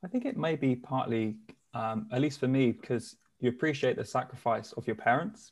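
Somewhat breathy, a man speaks at a medium pitch and a fairly quick pace with lively intonation. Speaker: behavioral science consultant. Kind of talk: casual interview chat.

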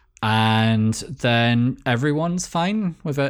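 A man with a Scottish accent. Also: very clean recording, silent background. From Scotland. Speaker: podcast host. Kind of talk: casual chat.

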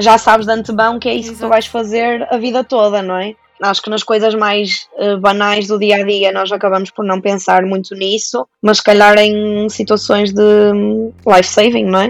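The speech moves at a moderate pace. Its intonation stays monotone and flat. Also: woman, medium pitch for a woman. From Portugal, Santa Maria da Feira. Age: 20s. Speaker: doctor. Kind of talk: casual interview.

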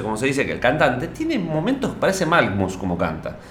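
The man talks at a fairly quick pace and medium pitch, with very wide pitch swings. Noticeable background noise and audible room echo fill the recording. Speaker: radio podcast co-host. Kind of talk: casual chat.

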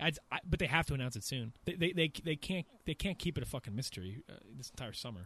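Speaking very fast in an American accent, a man has a bright, sharp tone with vocal fry and lively intonation, captured as a dry, close sound with no echo. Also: fairly high pitch for a man. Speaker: gaming podcast host. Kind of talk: casual chat.

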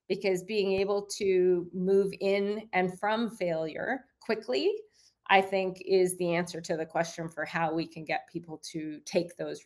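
A woman's unremarkable speaking voice with a Canadian accent, medium in pitch, fairly slow, with fairly even intonation. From Canada. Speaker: author and business coach. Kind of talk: interview. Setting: video call.

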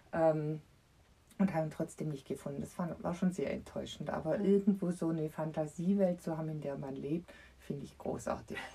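Talking at a fairly quick pace, a woman uses a fairly low, somewhat breathy voice with a dark, mellow tone and fairly even intonation. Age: 50s. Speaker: children's book author. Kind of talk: casual chat.

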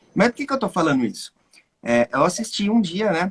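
High-pitched man in a dry, close sound with no echo. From Brazil. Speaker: music production teacher and host. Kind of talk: casual chat.

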